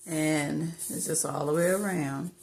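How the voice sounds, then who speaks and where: A woman with a very deep, low pitch speaks at a fairly slow pace with fairly even intonation. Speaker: crafter making custom gifts. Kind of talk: craft tutorial. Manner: casual, with ums and pauses.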